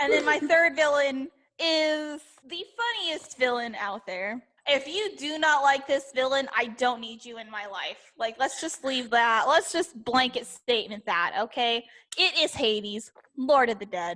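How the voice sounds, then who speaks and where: A woman's high, raised, projected voice with lively intonation. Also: fairly slow pace, big swings in loudness. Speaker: podcast co-host. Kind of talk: casual chat.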